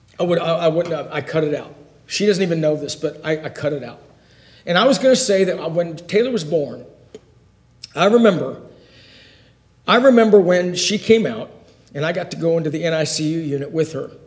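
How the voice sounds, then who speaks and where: A high-pitched man at a fairly quick pace, ordinary pitch variation, long and frequent pauses, and noticeable background noise. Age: 50s. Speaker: Bible class teacher. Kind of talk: Bible lesson.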